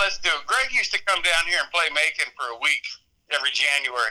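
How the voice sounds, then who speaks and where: Speaking at a moderate pace, a man has a high pitch and a bright, sharp tone. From US Midwest (central Iowa). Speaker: rock tour manager and music photographer. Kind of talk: casual interview storytelling. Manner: relaxed, carefree storytelling.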